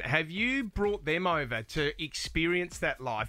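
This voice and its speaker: Speaking in an Australian accent, a man uses a bright, sharp tone at a fairly slow pace. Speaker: breakfast radio co-host. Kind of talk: radio interview. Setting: studio.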